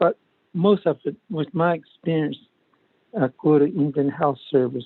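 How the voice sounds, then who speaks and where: A man's fairly high-pitched voice with an American accent and ordinary pitch variation. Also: fairly slow pace. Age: 60s. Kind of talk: committee meeting discussion. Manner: halting.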